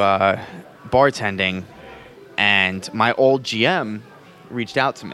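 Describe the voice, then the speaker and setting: Over noticeable background noise, a man with a medium pitch speaks at a very slow pace with ordinary pitch variation. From New Jersey. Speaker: bartender. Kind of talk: casual interview. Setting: bar.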